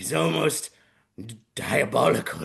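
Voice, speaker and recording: This is a put-on character voice with a raspy sound. It runs at a moderate pace. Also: man. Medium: solo performance. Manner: theatrical.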